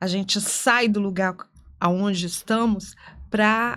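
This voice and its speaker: A woman's fairly high voice at a very slow pace, with fairly even intonation, in a very clean recording against a silent background. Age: 60s. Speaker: lawyer and author. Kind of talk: podcast interview.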